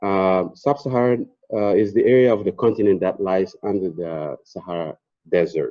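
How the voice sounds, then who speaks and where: In a West African accent, a man speaks at a moderate pace. His fairly low pitch shows ordinary variation. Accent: French-speaking West African. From Burkina Faso. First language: French. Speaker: energy company presenter. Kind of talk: conference presentation. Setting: stage with audience. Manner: halting.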